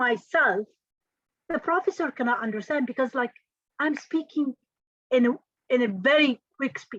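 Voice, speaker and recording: A woman with a non-native accent, high in pitch, lively in intonation, at a moderate pace, in a dry, close sound with no echo. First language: not English. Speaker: engineering trainer and career speaker. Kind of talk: motivational talk. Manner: measured pace with pauses.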